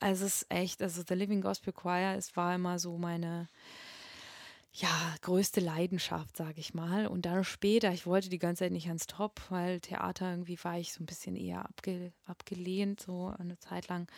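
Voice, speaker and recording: A woman speaks at a fairly low pitch and a moderate pace, her intonation monotone and flat. The recording is dry and close, with no echo. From Russia, Moscow. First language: Russian (speaking German). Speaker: singer and voice teacher. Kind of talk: interview. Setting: flat share, in person. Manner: halting, many fillers.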